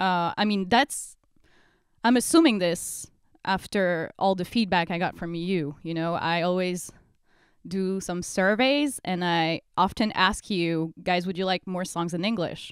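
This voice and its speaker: At a fairly slow pace, a woman with a medium pitch and ordinary pitch variation speaks on a very clean recording with a silent background. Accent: French. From France. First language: French. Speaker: metal band singer. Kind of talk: Q&A video monologue. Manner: hesitant, many fillers.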